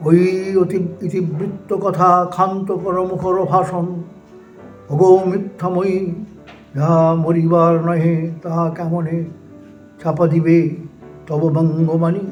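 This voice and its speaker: Music sounds in the background as a man with a high pitch speaks in a monotone, flat intonation. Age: 80s+. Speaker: poetry reciter. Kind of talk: poetry reading.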